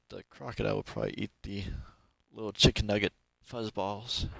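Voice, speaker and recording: A man's fairly low-pitched voice at a fairly quick pace, dry with no echo, over a quiet background. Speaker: gamer. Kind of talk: let's play game commentary. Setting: low quality mic. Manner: shy, awkward.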